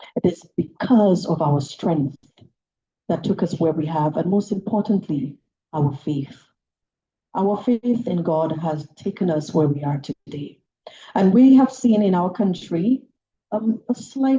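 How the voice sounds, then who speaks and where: A woman's dark, mellow, somewhat breathy voice, fairly low in pitch, with lively intonation at a fairly slow pace. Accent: Saint Lucian. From Saint Lucia. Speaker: politician. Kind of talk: political speech.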